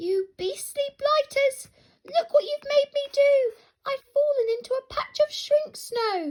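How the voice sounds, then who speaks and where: A woman's put-on character voice, squeaky and extremely high-pitched, at a fairly slow pace with a dry, close sound and no echo. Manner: angry, indignant.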